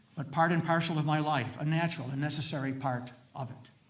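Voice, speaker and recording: With audible room echo, a man speaks at a fairly quick pace and fairly high pitch, with ordinary pitch variation. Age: 80s+. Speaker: retired minister. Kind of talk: legislative testimony. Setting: committee hearing.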